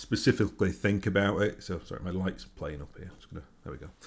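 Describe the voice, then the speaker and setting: A man speaks at a fairly quick pace in a very deep, low voice with ordinary pitch variation. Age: 40s. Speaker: YouTuber and tabletop gaming podcaster. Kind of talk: casual vlog monologue. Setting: home recording to camera. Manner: hesitant, many fillers and restarts.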